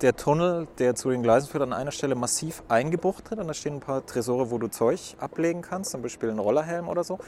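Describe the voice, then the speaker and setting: A man talks with a fairly high pitch and lively intonation. Noticeable background noise sits behind him. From Würzburg, Franconia. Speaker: podcast host. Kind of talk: interview. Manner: hasty.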